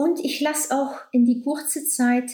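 A woman in a Dutch accent at a very slow pace, with audible room echo. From Belgium (Flanders). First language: Dutch (speaking German). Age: 60s. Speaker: doctor and author. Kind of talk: casual interview. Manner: laughs a lot.

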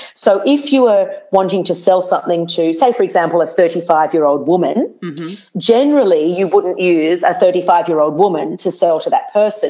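Over noticeable background noise, a woman with an Australian accent talks at a medium pitch with hardly any pauses. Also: lively intonation, moderate pace. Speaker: TV presenter and speaking coach. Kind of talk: interview. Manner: animated.

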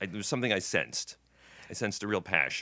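A man speaks at a fairly low pitch with a bright, sharp tone and vocal fry. The recording is very clean, with a silent background. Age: 60s. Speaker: TV writer and producer. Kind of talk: casual interview chat.

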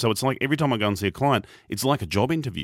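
On a very clean recording with a silent background and a dry, close sound with no echo, a man speaks at a medium pitch with an Australian accent. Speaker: professional speaker and podcast host. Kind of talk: radio interview.

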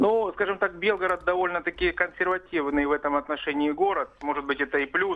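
Speaking at a fairly quick pace with hardly any pauses, a woman keeps her loudness very even and her pitch variation ordinary. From Yaroslavl, Russia. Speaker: caller. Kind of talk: phone-in opinion. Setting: phone call.

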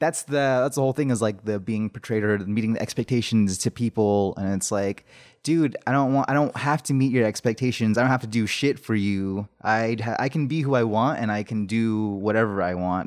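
In a plain, everyday voice, a man with an American accent talks at a fairly quick pace with hardly any pauses. His pitch is medium with ordinary variation, and the recording is very clean with a silent background. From Navajo (Dene) reservation community, US Southwest. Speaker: comedian. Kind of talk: casual chat.

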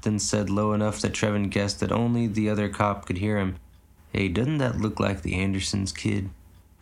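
Someone is simply reading the text aloud. The intonation is kept fairly even.

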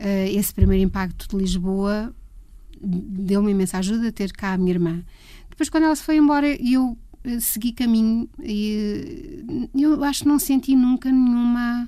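At a moderate pace, a woman speaks with fairly high pitch, lively intonation and a dark, mellow tone. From Portugal, Leiria. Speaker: music photographer. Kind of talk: interview conversation.

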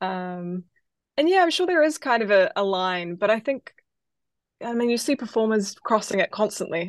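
With a New Zealand accent, the speaker moves at a moderate pace through very wide pitch swings. The sound is dry and close with no echo, against a quiet background. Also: woman, fairly high pitch for a woman. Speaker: singer-songwriter. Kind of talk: interview.

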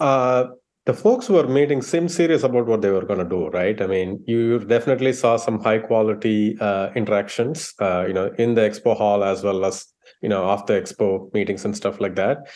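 With an unremarkable speaking voice pitched fairly low, a man talks with ordinary pitch variation. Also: fairly quick pace. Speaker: payments consultant. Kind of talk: panel discussion.

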